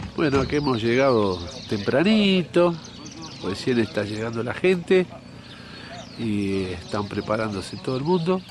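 A man at a medium pitch with very wide pitch swings and long, frequent pauses, over noticeable background noise. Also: fairly slow pace. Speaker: fishing show host. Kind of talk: casual fishing vlog narration. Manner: animated.

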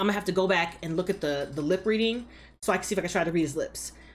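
A woman speaks at a very fast pace in a somewhat breathy voice, with ordinary pitch variation. Light background noise sits underneath. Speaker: show reaction vlogger. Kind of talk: casual vlog chat. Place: home room.

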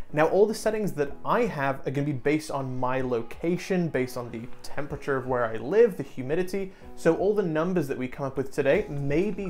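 A man talks at a fairly quick pace with lively intonation. Light background noise is present. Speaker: 3D printing video host. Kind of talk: tutorial. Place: studio. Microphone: lapel.

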